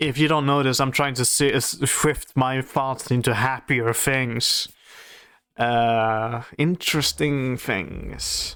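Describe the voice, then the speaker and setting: A man with a non-native accent talks at a very slow pace, his medium pitch carrying fairly even intonation. His tone is bright and sharp, and his loudness stays very even. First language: not English. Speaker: reaction video creator. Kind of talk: reaction commentary. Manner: halting, many fillers.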